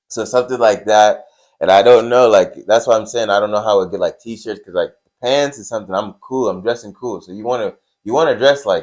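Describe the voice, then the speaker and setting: A man with a normal speaking voice at medium pitch, fairly quick, with ordinary pitch variation and big swings in loudness. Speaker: wrestling podcast co-host. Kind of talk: casual chat.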